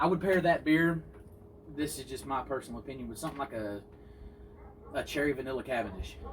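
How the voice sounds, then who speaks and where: With a Southern accent, a man speaks at a fairly quick pace and ordinary pitch variation. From US South. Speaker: pipe smoking channel host. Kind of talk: casual chat. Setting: outdoors.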